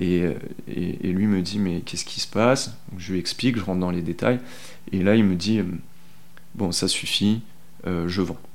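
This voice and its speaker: The speech moves at a moderate pace with long, frequent pauses and fairly even intonation, and audible room echo surrounds it. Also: man, very deep, low pitch for a man. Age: 30s. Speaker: bicycle mechanic. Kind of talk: interview testimony. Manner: hesitant, many fillers and repetitions; casual, colloquial.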